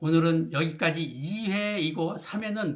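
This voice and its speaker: A man's very slow speech with lively intonation. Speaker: Vietnam War veteran. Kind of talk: narration of archival photos. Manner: formal; halting.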